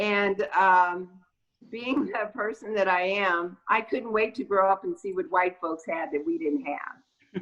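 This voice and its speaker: Medium in pitch and fairly slow, a woman with an unremarkable speaking voice talks with lively intonation. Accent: American. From Los Angeles, Southern California. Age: 60s. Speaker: city council candidate. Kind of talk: casual chat. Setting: video call.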